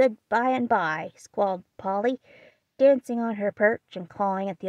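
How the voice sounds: A natural reading voice with ordinary pitch variation sounds against a quiet background.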